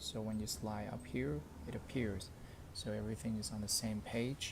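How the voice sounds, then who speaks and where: Speaking at a moderate pace with lively intonation, a man with a non-native accent has a fairly low pitch. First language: not English. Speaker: tech reviewer. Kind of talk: tutorial. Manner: halting; casual.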